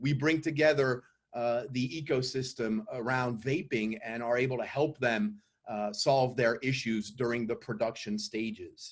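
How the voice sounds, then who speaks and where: With a French accent, a man speaks at a fairly slow pace and medium pitch, with ordinary pitch variation. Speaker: company CEO pitching investors. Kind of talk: investor pitch presentation.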